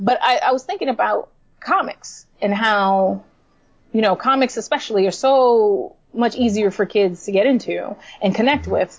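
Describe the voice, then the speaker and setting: Against noticeable background noise, a woman with a fairly high pitch and ordinary pitch variation speaks at a moderate pace, her loudness very even. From New York City (Puerto Rican family). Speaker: comic book writer. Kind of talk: casual interview chat.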